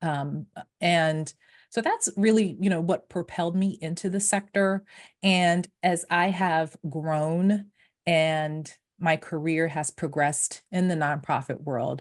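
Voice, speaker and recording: A woman speaks at a very slow pace, her pitch varying in an ordinary way. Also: fairly low pitch for a woman, very clean recording, silent background. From Haiti, moved to US at five. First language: French. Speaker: nonprofit founder and fundraiser. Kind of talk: podcast interview. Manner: halting, many fillers and restarts.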